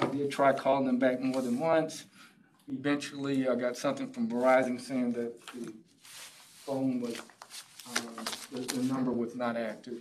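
Noticeable background noise runs behind a man talking at a moderate pace. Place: meeting room.

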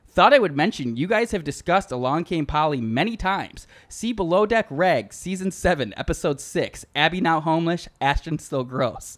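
With lively intonation and hardly any pauses, a man speaks at a high pitch. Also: moderate pace. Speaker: comedy podcast host. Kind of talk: casual chat.

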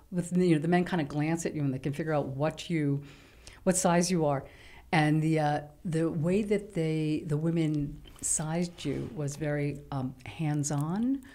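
In a very deep, low pitch, a woman speaks at a fairly slow pace with a dark, mellow tone and fairly even intonation. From New York City, Lower East Side; New York City. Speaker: writer; guest. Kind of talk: casual chat. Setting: studio. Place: studio. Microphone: studio mic.

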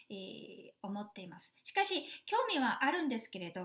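The pitch swings very widely. Delivery moves at a moderate pace. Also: woman. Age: 50s. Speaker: flight attendant and health seminar lecturer. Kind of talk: online seminar lecture; guided exercise instruction. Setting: video call.

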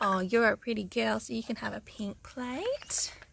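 A woman talks at a very slow pace. The sound is dry with no echo, and noticeable background noise runs underneath. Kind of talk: pretend play character voices. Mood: cheerful playful. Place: garden. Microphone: phone near.

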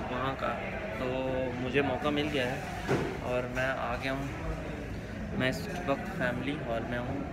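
Very slow speech from a man, music in the background. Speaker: travel food vlogger. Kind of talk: casual vlog chat. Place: cafe. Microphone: phone near.

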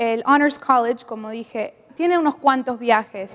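A woman's high-pitched voice at a fairly slow pace, with fairly even intonation. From Argentina. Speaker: international college student. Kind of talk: interview. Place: studio. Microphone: lapel.

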